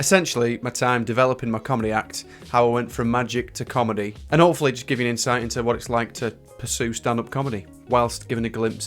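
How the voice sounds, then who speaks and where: A man with a Northern English accent at a very fast pace, with music in the background. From Northern England. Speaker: magician and stand-up comedian. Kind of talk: casual talk to camera. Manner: chatty storytelling.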